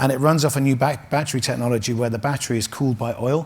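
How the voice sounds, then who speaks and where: Somewhat breathy and very fast, a man talks at a medium pitch in an English accent. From England. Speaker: automotive executive. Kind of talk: interview. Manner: halting; animated.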